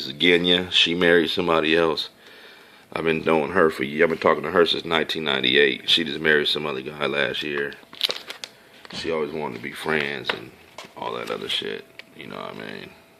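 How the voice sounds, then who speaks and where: Over noticeable background noise, a man with a very deep, low pitch talks at a fairly quick pace, with big swings in loudness and long, frequent pauses. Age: 30s. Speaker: video blogger. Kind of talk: casual monologue showing photos. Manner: animated.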